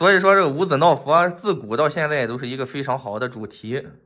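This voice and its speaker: A man speaks at a moderate pace with ordinary pitch variation and a bright, sharp tone. The background is quiet. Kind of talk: explanatory bargaining talk. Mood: friendly, laughing. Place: home room.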